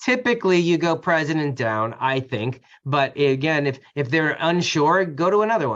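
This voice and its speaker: With hardly any pauses, a man of fairly high pitch speaks with lively intonation against a quiet background. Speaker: community association attorney. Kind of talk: webinar panel discussion. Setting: online webinar. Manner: fast.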